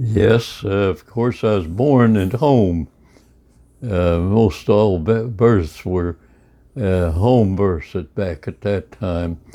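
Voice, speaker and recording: A man with a rural Midwestern accent, fairly low-pitched with a dark, mellow tone, very slow, with ordinary pitch variation. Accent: US Midwest, rural. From Kansas. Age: 80s+. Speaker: centenarian storyteller. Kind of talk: oral history interview. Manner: halting, many fillers.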